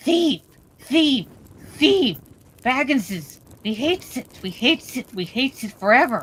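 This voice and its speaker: In a put-on character voice, a female-sounding speaker uses a shrill, high pitch, leaving long, frequent pauses. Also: moderate pace. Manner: menacing, hateful, screeching.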